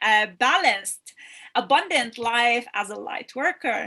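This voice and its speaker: Loud and bright, a woman's voice sits high in pitch. Her tone is sharp. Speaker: retreat host. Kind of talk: livestream introduction. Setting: live stream on Facebook and YouTube. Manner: halting.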